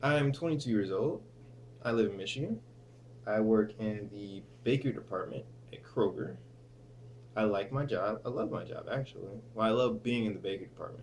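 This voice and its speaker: Speaking at a fairly quick pace with long, frequent pauses, a man shows vocal fry at a medium pitch with ordinary pitch variation. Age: 20s. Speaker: vlogger and student. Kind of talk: casual vlog. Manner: hesitant, many fillers.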